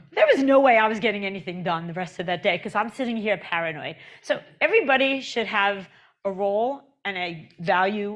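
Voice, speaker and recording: A woman with a New York accent talks at a fairly quick pace. Her pitch sits in the medium range, with ordinary variation. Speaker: conference speaker on agile transformation. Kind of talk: conference talk. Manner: conversational, with fillers and restarts.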